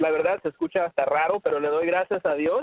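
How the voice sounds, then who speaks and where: This man's voice sits at a high pitch. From Mexico, raised in Los Angeles. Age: 30s. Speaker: sales director, call host. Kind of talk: live sales call. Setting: phone call.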